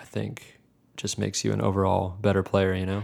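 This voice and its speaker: On a very clean recording with a silent background, a man speaks at a fairly quick pace in a very deep, low pitch with fairly even intonation. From New Jersey. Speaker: keyboardist. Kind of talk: interview.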